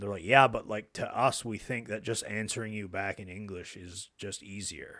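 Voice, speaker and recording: A bright, sharp voice moves at a moderate pace with hardly any pauses and fairly even intonation, though loudness swings widely. The recording is very clean, with a silent background. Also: man, fairly low pitch for a man. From Acadian French-English family, Nova Scotia, Canada. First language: bilingual English and Acadian French. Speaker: SEO expert. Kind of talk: casual chat.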